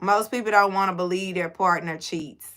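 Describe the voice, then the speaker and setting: A woman with a Houston accent and a bright, sharp tone, on a very clean recording with a silent background. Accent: Houston, Texas. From Houston, Texas. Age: 40s. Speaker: livestreamer. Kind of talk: casual chat. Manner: animated.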